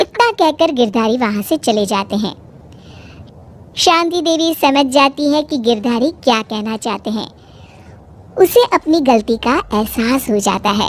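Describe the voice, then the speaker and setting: In a cartoonish character voice, a woman speaks at a fairly slow pace, her high pitch rising and falling with lively intonation. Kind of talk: moral storytelling. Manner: even, plain.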